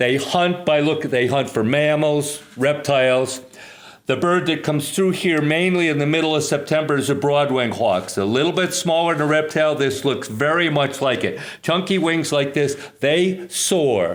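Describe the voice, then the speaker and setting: With an American accent, a man with a fairly high pitch talks at a moderate pace with ordinary pitch variation and very even loudness, in audible room echo. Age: 70s. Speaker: retired teacher and hawk watch leader. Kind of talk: interview explanation. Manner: halting.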